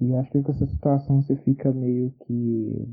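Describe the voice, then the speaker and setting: This man talks at a moderate pace. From Minas Gerais, Brazil. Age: 20s. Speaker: construction worker. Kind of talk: recorded personal testimony. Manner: hesitant, repeated words.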